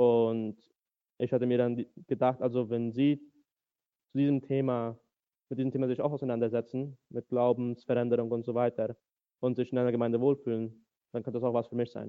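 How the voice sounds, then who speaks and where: A man of medium pitch talks at a fairly quick pace in a monotone, flat intonation. Long pauses break up his speech often. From Paraguay, German-speaking Mennonite community. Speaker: church member sharing faith story. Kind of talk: testimony interview.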